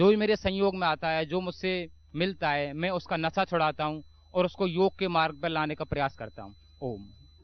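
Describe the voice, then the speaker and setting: At a moderate pace, a man with a fairly high pitch and ordinary pitch variation speaks in a normal speaking voice. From Mathura, western Uttar Pradesh, India. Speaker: army soldier giving testimony. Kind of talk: testimony.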